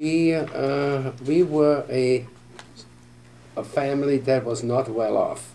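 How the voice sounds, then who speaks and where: A man with a medium pitch speaks at a very slow pace with fairly even intonation. Long, frequent pauses break up his speech. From Austria (Vienna). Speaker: war veteran. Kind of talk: interview answer.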